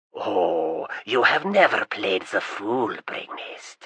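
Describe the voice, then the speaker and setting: Doing a put-on character voice, this man keeps to a medium pitch. The delivery is very slow. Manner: sickly sweet, insincere.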